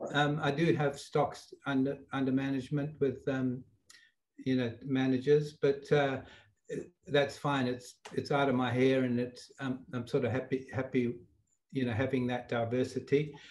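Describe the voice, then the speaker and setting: At a moderate pace, a man speaks at medium pitch with monotone, flat intonation. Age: 70s. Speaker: retired investor. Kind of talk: interview answer.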